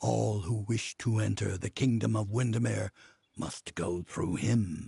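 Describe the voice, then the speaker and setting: At a fairly slow pace, a man puts on a character voice pitched fairly low. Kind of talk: epic fantasy narration. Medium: video game. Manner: solemn, measured.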